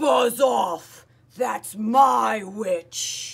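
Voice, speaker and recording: In a put-on character voice, someone shouts in a shrill, growling tone at a fairly high pitch. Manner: fierce.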